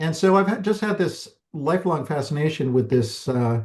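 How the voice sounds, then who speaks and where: A man with an American accent talks with lively intonation and a somewhat breathy quality against a quiet background. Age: 60s. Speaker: documentary filmmaker. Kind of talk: interview. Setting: podcast.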